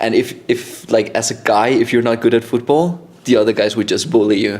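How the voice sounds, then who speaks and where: This man speaks fairly quickly at a medium pitch with ordinary pitch variation, in a Danish accent. Noticeable background noise runs under his voice. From Denmark (Randers, later Copenhagen). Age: 20s. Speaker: vlogger. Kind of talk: casual chat. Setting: podcast filmed at home.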